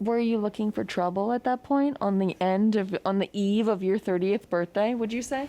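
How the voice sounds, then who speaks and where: With an American accent, a woman speaks at a moderate pace with hardly any pauses and very even loudness, her fairly high voice set in a dark, mellow tone with ordinary pitch variation. The background is quiet, and the sound is dry and close with no echo. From Pennsylvania. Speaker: podcast host. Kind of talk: casual chat.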